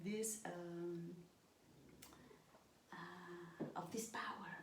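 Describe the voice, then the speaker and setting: In a non-native accent, a woman speaks with fairly even intonation and a somewhat breathy voice, with audible room echo. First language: not English. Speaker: stepmother of the channel host. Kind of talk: casual chat. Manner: halting.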